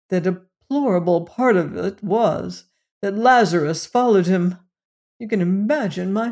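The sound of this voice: Quiet background, an unforced reading voice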